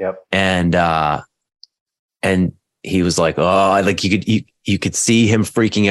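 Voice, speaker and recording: A plain, everyday voice from a man, fairly low in pitch, at a moderate pace with ordinary pitch variation. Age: 30s. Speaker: men's coach and addiction counsellor. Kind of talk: casual chat.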